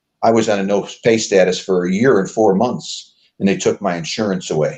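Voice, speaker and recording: This is a man with an American accent and an unremarkable speaking voice. He talks at a fairly quick pace, pitched fairly low, with ordinary pitch variation. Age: 60s. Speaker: former mayoral candidate. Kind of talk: interview.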